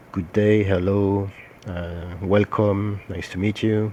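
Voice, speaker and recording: A man's very slow, monotone, flat delivery with a French accent, fairly low in pitch with a dark, mellow tone. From France. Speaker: social media marketing consultant. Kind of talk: tutorial. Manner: hesitant, many filler sounds.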